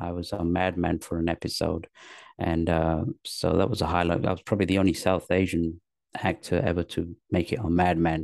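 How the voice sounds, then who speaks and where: In a London accent, a man with a very deep, low pitch speaks at a moderate pace with fairly even intonation, the sound dry and close with no echo against a quiet background. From England, north then London. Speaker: actor, comedian and author. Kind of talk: interview. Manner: halting, many fillers.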